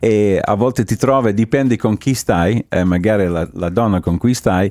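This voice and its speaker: A man with an Italian accent speaks at a very fast pace in a fairly low voice with a dark, mellow tone. His pitch varies in an ordinary way, and the sound is dry and close with no echo. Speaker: radio host. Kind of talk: radio interview. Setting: studio.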